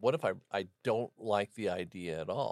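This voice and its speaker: A plain, everyday voice from a man, fairly low in pitch with ordinary variation, dry and close with no echo. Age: 60s. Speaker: pastor. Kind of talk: casual chat.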